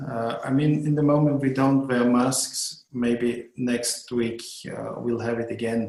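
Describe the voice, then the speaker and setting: Over noticeable background noise and audible room echo, a man speaks fairly slowly at a medium pitch with hardly any pauses and a monotone, flat intonation. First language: German. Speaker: hotel owner and tourism board head. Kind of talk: podcast interview. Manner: halting, many hesitations.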